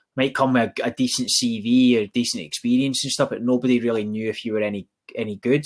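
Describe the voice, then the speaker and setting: The speaker talks at a very fast pace with monotone, flat intonation in a Glaswegian accent. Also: man. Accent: Glaswegian Scottish. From Scotland, East End of Glasgow. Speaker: recruitment company founder and podcast co-host. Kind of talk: casual podcast conversation.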